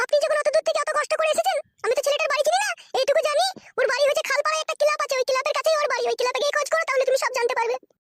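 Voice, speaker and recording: A woman's cartoonish character voice, extremely high in pitch, very fast, with very even loudness and a dry, close sound with no echo. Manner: sharp, scolding.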